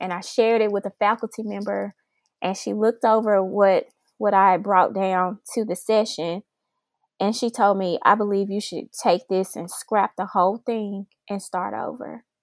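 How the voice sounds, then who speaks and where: Her voice is medium in pitch, with monotone, flat intonation. The recording of this woman is very clean with a silent background and a dry, close sound with no echo. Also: moderate pace. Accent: Memphis. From Memphis, Tennessee, US South. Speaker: oncology research manager and PhD. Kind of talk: podcast interview.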